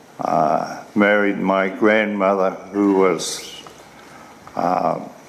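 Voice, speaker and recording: Against noticeable background noise and audible room echo, a man speaks at a very slow pace in a fairly low pitch, his intonation monotone and flat. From New Zealand, Northland. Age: 70s. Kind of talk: testimony. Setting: formal hearing. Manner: halting.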